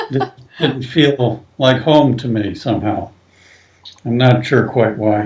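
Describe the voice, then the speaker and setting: Somewhat breathy, a man speaks at medium pitch with fairly even intonation. His pace is very slow, with long, frequent pauses. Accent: American. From US Midwest, northern Ohio (Cleveland). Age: 70s. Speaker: psychiatrist. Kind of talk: interview.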